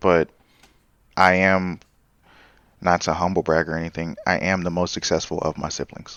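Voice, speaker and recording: Very deep and low, a man's voice with an American accent stays monotone and flat, broken by long, frequent pauses. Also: moderate pace. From US, Charlotte and Los Angeles. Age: 20s. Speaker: podcast guest telling his life story. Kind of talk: casual interview.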